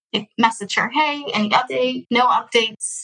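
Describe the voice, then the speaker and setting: A raised, projected voice with an American accent comes at a fairly slow pace, bright and sharp in tone. Pitch variation is ordinary, and the sound is dry and close with no echo. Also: woman. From Texas. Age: 20s. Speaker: adoptee sharing her story. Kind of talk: interview.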